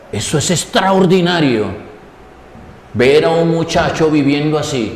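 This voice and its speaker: Noticeable background noise and audible room echo fill the recording. A man speaks fairly slowly at a fairly high pitch with ordinary variation. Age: 60s. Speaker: preacher. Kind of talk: sermon.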